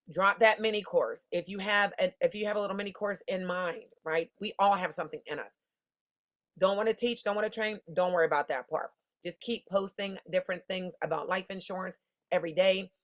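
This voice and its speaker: Someone speaks at a fairly quick pace against a quiet background. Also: woman. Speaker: insurance business coach. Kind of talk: online masterclass. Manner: fast; casual, animated. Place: home room. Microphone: webcam.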